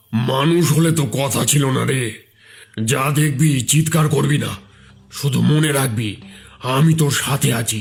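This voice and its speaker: A man's cartoonish character voice, fairly high and fairly even in intonation, over faint background music. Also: moderate pace. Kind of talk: Sanskrit incantation. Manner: commanding, calm.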